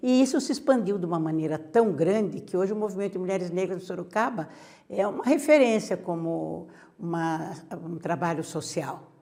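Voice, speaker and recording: With lively intonation and a dark, mellow tone, a woman talks at a moderate pace and medium pitch. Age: 70s. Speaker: activist. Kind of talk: interview.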